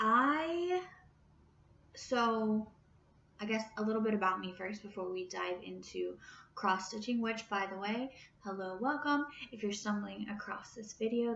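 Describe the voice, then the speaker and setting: This woman has an ordinary speaking voice with a fairly high pitch. Her intonation is lively and her pace moderate. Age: 30s. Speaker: crafting vlogger. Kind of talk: casual vlog chat. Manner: casual, with fillers.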